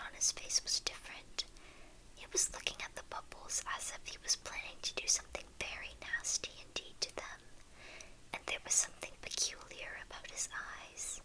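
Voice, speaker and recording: A woman whispers with big swings in loudness. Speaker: ASMR creator. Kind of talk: reading aloud. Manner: whispering; slow.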